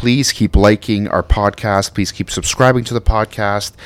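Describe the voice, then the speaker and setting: A man with a plain, everyday voice speaks at a moderate pace in a fairly low pitch. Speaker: co-host. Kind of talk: casual banter.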